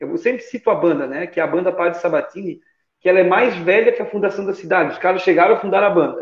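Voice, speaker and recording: Here a man speaks at a very fast pace. His pitch is high. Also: ordinary pitch variation. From Santa Catarina, southern Brazil. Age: 20s. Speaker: guitarist and music teacher. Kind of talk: casual chat.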